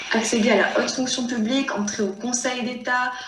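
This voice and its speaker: A woman's fairly high voice comes through audible room echo and noticeable background noise. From La Réunion. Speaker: student, association founder. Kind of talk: testimony.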